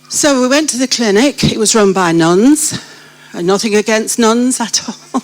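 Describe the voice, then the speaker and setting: A woman speaks at a fairly high pitch and a moderate pace. Her intonation is lively, with noticeable background noise behind her. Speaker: church member sharing life story. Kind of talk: testimony. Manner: animated.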